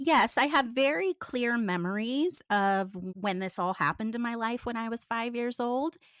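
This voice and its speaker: With an American accent and a plain, everyday voice, a woman talks at a moderate pace with lively intonation and a fairly high pitch, in a very clean recording with a silent background and a dry, close sound with no echo. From US. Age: 50s. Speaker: former cult member. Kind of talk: interview testimony.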